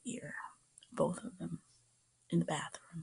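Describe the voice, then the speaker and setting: A soft-spoken woman with a gentle tone and an American accent. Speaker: ASMR creator. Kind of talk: soft-spoken personal storytelling to camera. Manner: soft-spoken, gentle.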